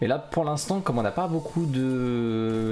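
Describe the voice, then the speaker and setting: Light background noise sits under the speech. The intonation is lively. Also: man. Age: 40s. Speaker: gaming YouTuber; gaming streamer. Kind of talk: gameplay commentary; casual gameplay commentary. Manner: casual, hesitant with fillers.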